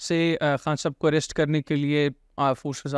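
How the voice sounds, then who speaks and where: Against a quiet background and with dry sound free of echo, a man speaks at a fairly high pitch in a monotone, flat way at a moderate pace. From Pakistan. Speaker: podcast host. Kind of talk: interview. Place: studio. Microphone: studio mic.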